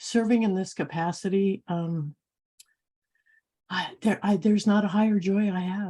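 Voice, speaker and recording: Somewhat breathy and dark, mellow in tone, a woman talks at a moderate pace with fairly even intonation and long, frequent pauses. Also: medium pitch for a woman. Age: 70s. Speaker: council member on a spiritual call. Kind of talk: emotional testimony. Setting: video call, off camera. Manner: halting.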